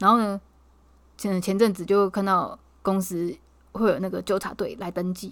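A woman's medium-pitched voice at a moderate pace, with fairly even intonation and long, frequent pauses, on a very clean recording with a silent background. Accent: Taiwanese. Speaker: podcast co-host. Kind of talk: casual chat.

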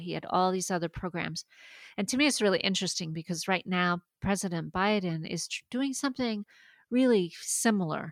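A woman at medium pitch speaks at a fairly quick pace with ordinary pitch variation. The sound is dry and close with no echo, on a very clean recording with a silent background. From Maine, US (French-Canadian family). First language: French. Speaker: university research administrator. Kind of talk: interview.

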